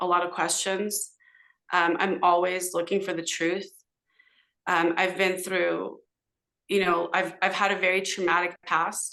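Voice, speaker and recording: Speaking at a moderate pace in a Californian accent, a woman has a medium pitch, a bright, sharp tone and monotone, flat intonation. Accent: Californian American English. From Southern California, Los Angeles (San Fernando Valley). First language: Hebrew. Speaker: podcast guest, social media commentator. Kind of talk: casual interview conversation. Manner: hesitant, many fillers.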